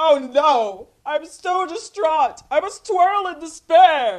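This put-on character voice has an extremely high pitch. It moves at a very slow pace. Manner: exaggerated, theatrical.

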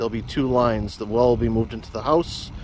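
Loud background noise behind a male speaker. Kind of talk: casual vlog chat. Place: open country. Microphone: phone near.

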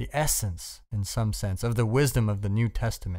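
A man with a plain, everyday voice speaks at a moderate pace with lively intonation on a very clean recording with a silent background. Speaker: audiobook narrator. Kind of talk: audiobook reading of a self-help essay, earnest and direct address to the listener. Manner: measured, earnest, instructive.

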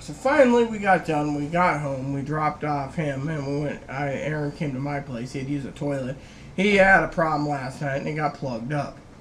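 Fairly quick pace and ordinary pitch variation, over light background noise. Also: man. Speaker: vlogger. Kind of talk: casual vlog chat. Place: home room. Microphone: webcam.

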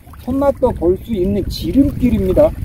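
A man speaks at an extremely high pitch and a fairly slow pace. The sound is dry with no echo, over noticeable background noise. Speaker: fishing channel host. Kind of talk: tutorial. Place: waterside.

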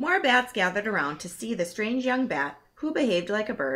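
The intonation rises and falls in a lively way. The clip is plain reading aloud.

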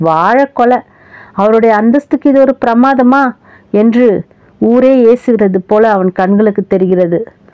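Here is a woman with an unremarkable speaking voice. Her pitch is fairly high, with ordinary variation. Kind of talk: short story narration.

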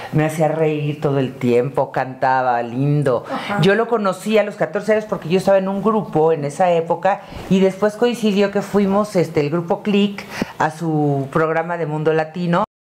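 A woman speaks at a fairly low pitch with lively intonation over light background noise. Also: moderate pace. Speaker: guest, actor's wife; interview guest. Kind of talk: casual interview chat. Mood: warm, affectionate recollection. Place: home room.

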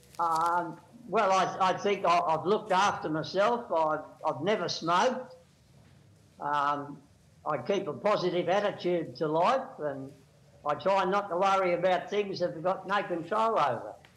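In an Australian accent, a man with a high pitch and ordinary pitch variation talks at a fairly slow pace amid audible room echo. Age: 80s+. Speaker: skydiver celebrating birthday. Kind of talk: TV interview. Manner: halting.

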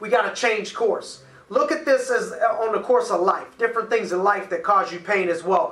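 Audible room echo surrounds a man's raised, projected voice as he speaks at a moderate pace. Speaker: coach. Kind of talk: motivational talk. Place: office.

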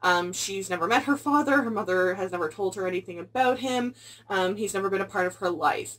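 A woman talks at a fairly quick pace. Her pitch shows ordinary variation. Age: 20s. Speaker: booktuber. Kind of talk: book review vlog. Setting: at home, filming video. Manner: fast. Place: home room. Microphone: phone near.

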